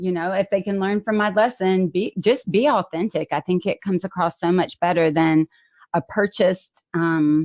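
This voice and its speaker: A woman's medium-pitched voice with a Southern US accent and ordinary pitch variation, dry and close with no echo over a quiet background. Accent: Southern drawl. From US South. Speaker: podcast host. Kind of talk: casual chat. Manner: clear enunciation; loud.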